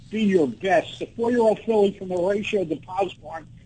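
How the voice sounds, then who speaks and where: With a dark, mellow tone, a man speaks at a high pitch and a moderate pace, using ordinary pitch variation. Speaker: racing reporter. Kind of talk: casual chat.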